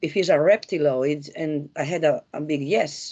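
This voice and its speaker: Speaking with an Italian accent, this voice moves at a fairly slow pace with ordinary pitch variation. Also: woman. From Italy. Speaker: spiritual investigator co-host. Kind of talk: conversational discussion. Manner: halting, many fillers.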